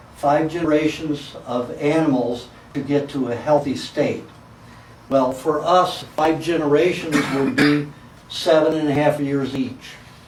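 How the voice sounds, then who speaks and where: Fairly high male voice, flat and monotone, at a fairly slow pace, with audible room echo and noticeable background noise. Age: 60s. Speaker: raw food diet lecturer. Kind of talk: lecture.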